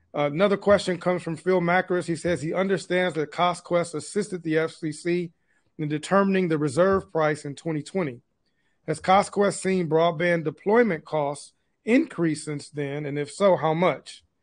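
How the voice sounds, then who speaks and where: Speaking with an American accent, a man uses a high pitch, fairly even intonation and a moderate pace. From Michigan. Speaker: webinar host, broadband executive; webinar host. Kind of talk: webinar interview. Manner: halting. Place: office. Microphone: video call.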